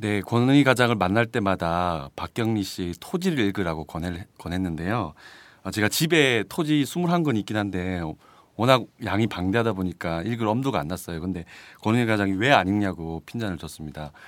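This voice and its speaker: The delivery has lively intonation and a moderate pace in an unremarkable speaking voice. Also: man, fairly low pitch for a man. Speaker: reporter. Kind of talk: casual chat. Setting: studio.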